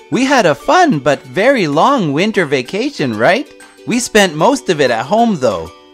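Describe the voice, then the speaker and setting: A man's pitch swings very widely as he talks at a moderate pace, with music playing in the background. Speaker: English teacher. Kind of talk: scripted English conversation dialogue.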